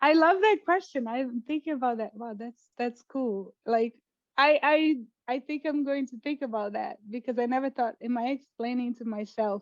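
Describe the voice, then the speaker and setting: In a Portuguese accent, a woman talks at a moderate pace and high pitch, with ordinary pitch variation, big swings in loudness, and a dry, close sound with no echo. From Brazil, Brasilia. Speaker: poet and fiction writer. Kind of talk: interview. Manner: hesitant, many fillers.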